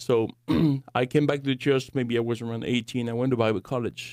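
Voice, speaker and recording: In a French accent, a man speaks with fairly even intonation at a medium pitch. The sound is dry and close, with no echo. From France. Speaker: Bible college director and apologetics teacher. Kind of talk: podcast interview. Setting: studio.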